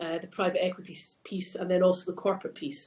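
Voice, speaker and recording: Speaking at a fairly quick pace, a woman with a Scottish accent uses a medium pitch. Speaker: company CEO. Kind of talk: panel discussion.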